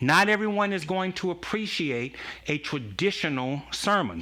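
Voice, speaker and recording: A man speaks loudly at a moderate pace, with a high pitch. His tone is bright and sharp, with lively intonation. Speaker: pastor. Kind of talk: casual chat.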